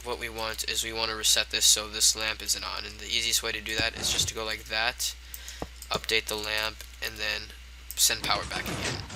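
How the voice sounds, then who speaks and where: Noticeable noise fills the background. The talking goes along fairly quickly. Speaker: gaming video creator. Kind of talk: tutorial. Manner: halting, stumbling over words.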